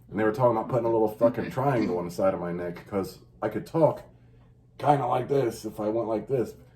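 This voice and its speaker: A man with an American accent, a dark, mellow tone and a very fast pace. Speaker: podcast host. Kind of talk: casual chat. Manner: fast and loud at times.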